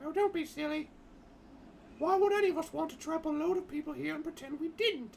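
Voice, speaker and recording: Someone speaks at a fairly quick pace in a high-pitched, put-on character voice, with clear background noise behind them. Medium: game stream. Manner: firm, practical.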